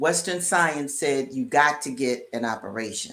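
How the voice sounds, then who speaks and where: Vocal fry runs through a woman's voice as she speaks at a fairly slow pace. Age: 70s. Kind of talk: podcast conversation. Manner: casual, animated.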